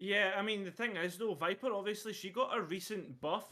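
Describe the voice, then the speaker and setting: In a Scottish accent, a man speaks at a fairly quick pace. His pitch is high. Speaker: esports caster. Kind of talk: live commentary.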